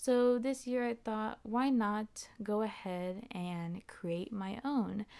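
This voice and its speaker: Speaking at a very slow pace with hardly any pauses, a woman uses a fairly high pitch, a dark, mellow tone and ordinary pitch variation. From Texas. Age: 20s. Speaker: podcast host. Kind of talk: casual solo monologue. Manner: expressive.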